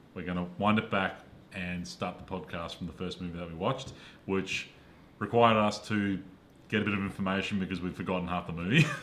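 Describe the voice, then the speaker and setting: A man with an Australian accent, a fairly low pitch and a fairly quick pace. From Perth, Western Australia. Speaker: podcast co-host, film reviewer. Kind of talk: casual chat.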